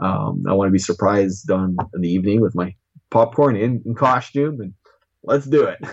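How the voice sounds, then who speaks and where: A man with a Canadian accent and an unremarkable speaking voice speaks at a moderate pace and fairly low pitch, with ordinary pitch variation. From Saskatchewan, Canada. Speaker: toy collector. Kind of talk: interview.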